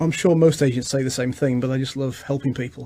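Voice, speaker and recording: His pitch sits in the medium range. The man has an English accent. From England. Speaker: realtor. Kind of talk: radio interview. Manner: halting.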